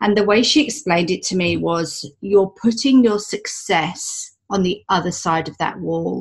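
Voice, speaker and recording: A woman's somewhat breathy voice, with ordinary pitch movement, proceeds at a moderate tempo. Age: 40s. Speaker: human design coach. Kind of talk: interview.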